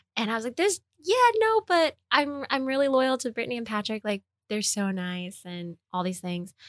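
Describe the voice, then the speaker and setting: A woman with an American accent speaks in a plain, everyday voice at a moderate pace, her fairly high pitch carried by lively intonation in a dry, close sound with no echo. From US Northeast, New York City (Queens, East Harlem). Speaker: chef. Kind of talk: casual chat.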